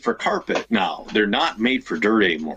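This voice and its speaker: A man in an American accent at a fairly slow pace, with noticeable background noise. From Minnesota, Elk River. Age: 30s. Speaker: RC racer and podcast host. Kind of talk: casual chat.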